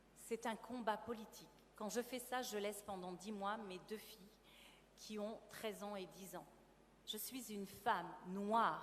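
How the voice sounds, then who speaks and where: A woman's voice at medium pitch. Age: 50s. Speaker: actress and theatre producer. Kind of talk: testimony.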